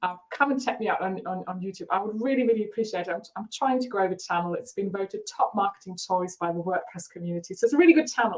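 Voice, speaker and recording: Delivered at a very fast pace with a German accent, the voice has lively intonation and an energetic tone. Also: woman. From Germany. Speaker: marketing coach. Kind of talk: live webinar. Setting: live video stream.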